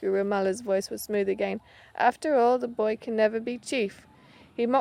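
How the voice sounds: A natural reading voice carries this clip.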